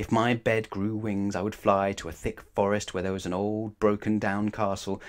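A man talks at a moderate pace with a fairly low pitch.

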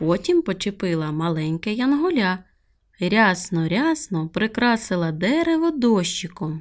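This is a natural reading voice.

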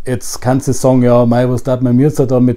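A man talks at a fairly quick pace in a Bavarian accent. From Upper Bavaria, Germany. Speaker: dialect webinar host. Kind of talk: casual promo talk to camera. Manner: humorous, easygoing. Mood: humorous, relaxed. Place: home room. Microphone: webcam.

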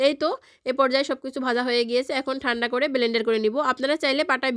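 A woman with a high-pitched voice speaks in a fairly even intonation on a very clean recording with a silent background. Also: dry, close sound with no echo. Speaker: cooking video creator. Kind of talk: tutorial.

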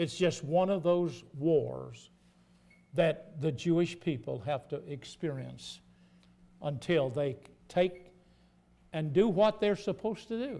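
A man's fairly high voice, dark and mellow in tone, with vocal fry, lively intonation and a slow pace

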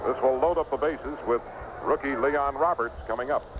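Noticeable background noise accompanies the voice. A man speaks at a fairly high pitch. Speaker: baseball radio broadcaster. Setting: ballpark press box, live radio. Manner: brisk, animated play-by-play delivery with conversational asides. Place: booth. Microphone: old recording.

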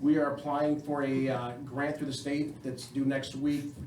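Someone with an American accent speaks at a fairly quick pace. There is audible room echo and noticeable background noise. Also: man. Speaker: fire chief. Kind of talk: public meeting address. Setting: village council meeting. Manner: fast.

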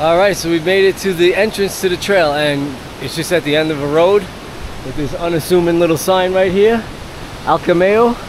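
A man with a high voice speaks at a moderate pace. The sound is dry with no echo, though background noise is noticeable. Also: ordinary pitch variation. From United States. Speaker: travel vlogger. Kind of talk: casual vlog narration. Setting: outdoors. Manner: animated. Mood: enthusiastic, impressed. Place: forest. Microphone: phone near.

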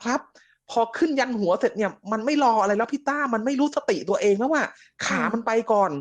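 A man speaks loudly at an extremely high pitch, with ordinary pitch variation. Behind him the background is quiet. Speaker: caller telling a ghost story. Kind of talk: storytelling. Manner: loud and clear.

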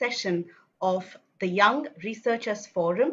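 Her pitch variation is ordinary as this woman speaks. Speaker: event host. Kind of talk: formal welcome address. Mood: warm, smiling. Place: home room. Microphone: video call.

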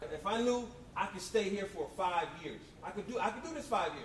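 A man speaks at a moderate pace and a high pitch. Light background noise and audible room echo come through. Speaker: motivational speaker. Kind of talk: motivational talk. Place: hall.

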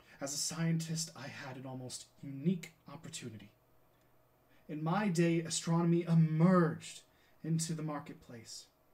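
Big swings in loudness, with ordinary pitch variation. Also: man, moderate pace. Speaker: actor. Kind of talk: dramatic monologue reading. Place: home room. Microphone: webcam.

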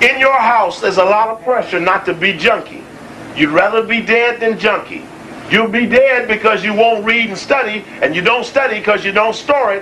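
The voice is raised and projected, with ordinary pitch variation. There is noticeable background noise. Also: man, high pitch for a man, moderate pace. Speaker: lecturer. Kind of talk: lecture. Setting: stage with audience. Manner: animated.

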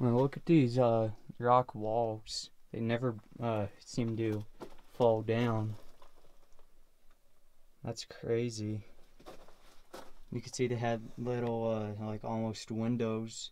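Delivery crawls along very slowly. Frequent pauses stretch out long. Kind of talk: casual vlog commentary. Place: empty room. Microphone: phone near.

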